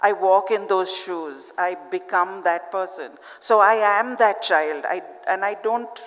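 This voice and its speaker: Against audible room echo and noticeable background noise, a woman with a medium pitch talks at a fairly slow pace with ordinary pitch variation. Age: 60s. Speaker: children's author. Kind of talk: panel discussion. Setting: stage with audience.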